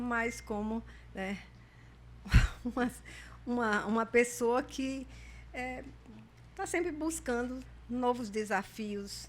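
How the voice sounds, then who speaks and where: Here a woman speaks with a fairly high pitch. Her pace is very slow. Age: 70s. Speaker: retired pediatric intensive care doctor. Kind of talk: podcast interview.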